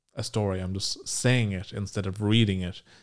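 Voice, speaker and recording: On a very clean recording with a silent background, a man with an Irish accent speaks at a fairly low pitch with fairly even intonation. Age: 20s. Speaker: podcast host and radio intern. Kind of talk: solo podcast monologue.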